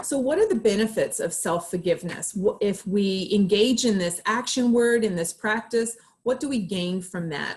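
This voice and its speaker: A woman speaks with a somewhat breathy voice at a moderate pace. Her pitch sits fairly high, with ordinary variation. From Australia. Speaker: clinical psychologist. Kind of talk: presentation.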